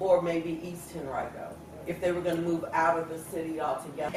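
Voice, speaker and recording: There is noticeable background noise behind the speaker. She is a woman with a Virginia accent and a fairly low pitch. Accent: Virginia, US Southern. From Richmond, Virginia, USA. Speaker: education scholar. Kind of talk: oral history interview answer.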